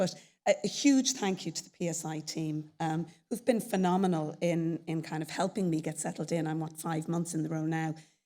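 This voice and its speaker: A woman speaks fairly quickly in an Irish accent, her pitch fairly low and her tone dark and mellow. Intonation stays fairly even on a very clean recording with a silent background. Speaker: chief executive of a professional society. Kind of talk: conference presentation. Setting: stage with audience at a conference.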